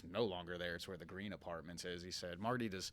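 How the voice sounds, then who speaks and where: A man with an American accent speaks at a very fast pace. His very deep, low pitch comes with a bright, sharp tone. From Philadelphia area, US. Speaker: minor league baseball general manager. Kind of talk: podcast interview.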